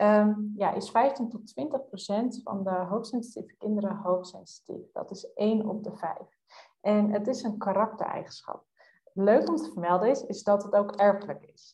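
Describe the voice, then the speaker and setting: A woman's voice sounds dark, mellow and somewhat breathy. Her intonation is fairly even, while her loudness swings widely. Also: medium pitch for a woman, moderate pace. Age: 20s. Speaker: youth coach. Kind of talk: casual interview.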